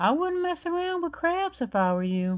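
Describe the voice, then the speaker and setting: A woman puts on a squeaky character voice at an extremely high pitch and moderate pace. The recording is very clean with a silent background. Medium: read story.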